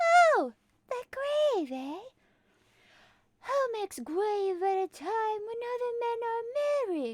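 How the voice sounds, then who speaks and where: Very slow and broken by long, frequent pauses, this put-on character voice squeaks at an extremely high pitch. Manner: menacing, interrogating.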